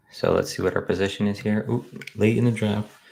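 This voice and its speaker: A man's fairly low voice carries vocal fry and fairly even intonation. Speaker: fantasy football streamer. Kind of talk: live stream commentary. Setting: home office, late night live stream. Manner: casual, relaxed.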